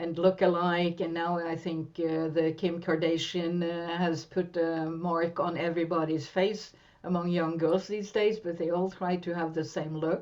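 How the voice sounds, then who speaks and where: A woman in a Norwegian accent, fairly slow and monotone, with a fairly low pitch. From western Norway. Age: 60s. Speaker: therapist and coach. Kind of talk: interview.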